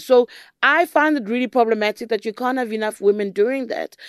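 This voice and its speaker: In a South African accent, a woman talks at a fairly high pitch with ordinary pitch variation. The recording is very clean, with a silent background and a dry, close sound with no echo. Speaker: political journalist and podcast host. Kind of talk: interview. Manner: pressing, interrupts often.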